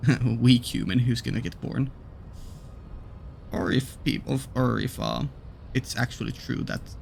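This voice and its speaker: A man speaks with a non-native accent in a very deep, low voice. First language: not English. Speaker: gaming YouTuber. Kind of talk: let's play commentary. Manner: hesitant, many fillers.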